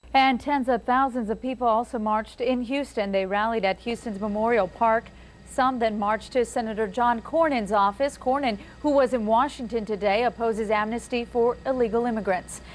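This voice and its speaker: A woman with a plain, everyday voice speaks at a fairly quick pace and fairly high pitch, with fairly even intonation and very even loudness. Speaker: TV news anchor. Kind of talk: TV news anchor read.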